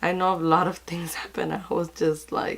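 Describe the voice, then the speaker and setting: Pitched fairly low, a woman with an ordinary speaking voice talks at a moderate pace with fairly even intonation. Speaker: beauty vlogger. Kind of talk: casual chat.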